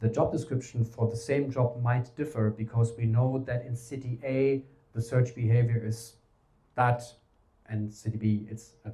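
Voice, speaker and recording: With a German accent, a man speaks at a moderate pace and medium pitch in a dark, mellow, somewhat breathy tone with fairly even intonation. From Germany. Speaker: talent strategy adviser. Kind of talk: conference presentation. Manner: casual, filler-heavy.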